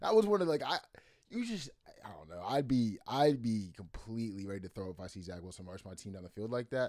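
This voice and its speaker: At a very fast pace, a man speaks in an animated tone at medium pitch. His intonation is lively. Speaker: sports podcast co-host. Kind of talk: casual sports chat. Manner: animated, slangy.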